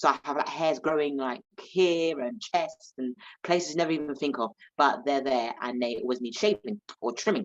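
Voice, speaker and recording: With a South London accent, a woman talks in a very deep, low pitch and lively intonation. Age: 30s. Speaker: stand-up comedian. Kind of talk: interview.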